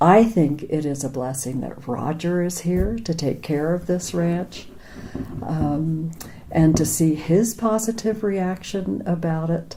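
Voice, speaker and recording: Against noticeable background noise, a woman with an American accent speaks at a very slow pace and fairly low pitch. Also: ordinary pitch variation. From Pennsylvania, near Philadelphia. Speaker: former ranch worker. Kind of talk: oral history interview.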